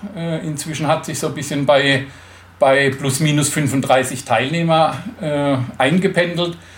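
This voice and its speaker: Audible room echo and noticeable background noise surround speech delivered very slowly. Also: man. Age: 50s. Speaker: motorcycle tour organizer with a stoma. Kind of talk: interview.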